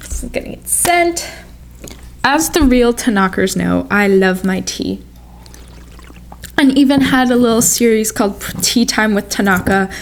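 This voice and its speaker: A woman with an American accent, long and frequent pauses, big swings in loudness, and noticeable background noise. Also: moderate pace. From US, Polish family. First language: Polish. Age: 20s. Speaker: lifestyle vlogger. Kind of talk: casual vlog talk.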